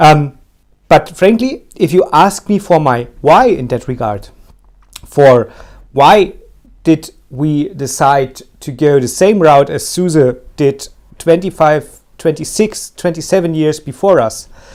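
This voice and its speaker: A man with a German accent speaks at a very slow pace. His pitch is fairly high and his intonation is lively. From Germany. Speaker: tech podcast co-host. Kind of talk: casual chat. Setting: live stream. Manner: halting.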